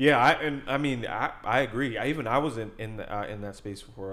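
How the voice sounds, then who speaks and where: A man speaks in a normal speaking voice, fairly low in pitch, with ordinary pitch variation. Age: 20s. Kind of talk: casual chat.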